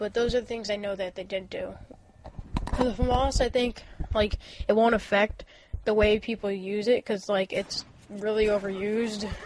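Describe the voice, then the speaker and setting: The delivery is flat and monotone at a moderate pace, with long, frequent pauses and noticeable background noise. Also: woman, fairly high pitch for a woman. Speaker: gaming commentator. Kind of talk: gameplay commentary. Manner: casual, hesitant with fillers.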